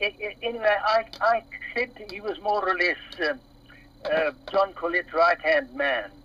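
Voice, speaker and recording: Speech comes at a fairly slow pace amid noticeable background noise. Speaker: former teacher at a school. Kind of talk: casual chat. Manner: halting, searching for words.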